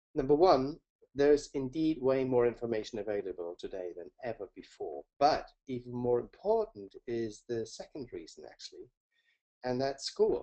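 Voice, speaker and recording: Speaking with a German accent at a moderate pace, a man shows big swings in loudness. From Germany, Hamburg. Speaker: learning coach. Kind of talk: webinar presentation. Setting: webinar.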